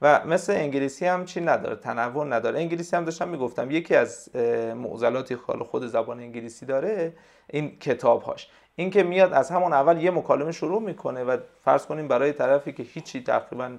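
Very fast speech from a man, fairly high in pitch with ordinary pitch variation, over a quiet background. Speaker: Persian and English language teacher and translator. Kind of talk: interview.

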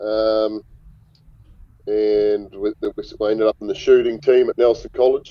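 With long, frequent pauses, a man speaks fairly slowly in a New Zealand accent. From New Zealand, Murchison. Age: 30s. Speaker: former rugby player and hunting guide. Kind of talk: casual chat.

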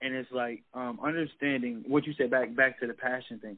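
At a fairly quick clip, a man of medium pitch speaks with an American accent. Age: 20s. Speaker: rapper. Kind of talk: interview. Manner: halting.

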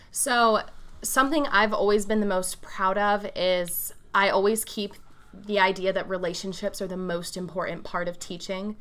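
A woman with a Midwestern American accent, moderate pace and fairly even intonation. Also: medium pitch for a woman. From rural Ohio, US Midwest. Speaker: high school English teacher. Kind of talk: interview.

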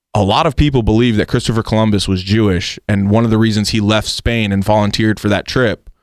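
In an ordinary speaking voice, a man with an American accent talks at a fairly quick pace, fairly low in pitch with fairly even intonation, in a dry, close sound with no echo on a very clean recording with a silent background. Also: very even loudness. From United States. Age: 20s. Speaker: radio producer. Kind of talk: casual interview.

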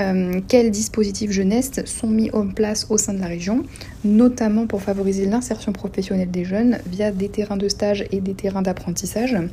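A woman speaks at a moderate pace with a medium pitch and fairly even intonation. There is noticeable background noise. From Normandy, Seine-Maritime. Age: 20s. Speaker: human resources worker. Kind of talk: interview questions. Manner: formal.

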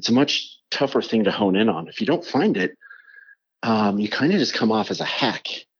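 Using lively intonation, a man with an American accent speaks at a moderate pace. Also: medium pitch for a man. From Utah and New Mexico. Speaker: graphic designer. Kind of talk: casual interview chat.

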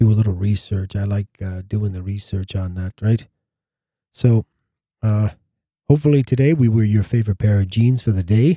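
A man with a fairly low pitch and a dark, mellow tone speaks at a moderate pace, somewhat breathy, with ordinary pitch variation and long, frequent pauses. The recording is very clean with a silent background and a dry, close sound with no echo. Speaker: podcast host. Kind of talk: casual chat. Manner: rambling, filler words.

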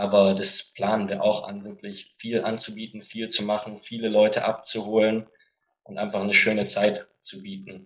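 A man's fairly low voice at a moderate pace, monotone with flat intonation. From Germany, Stuttgart. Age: 20s. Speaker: American football franchise manager. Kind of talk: podcast interview.

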